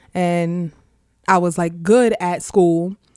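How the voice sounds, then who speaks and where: A dark, mellow tone carries a New York accent. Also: woman. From Far Rockaway, Queens, New York. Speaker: school director and rapper. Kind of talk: casual interview.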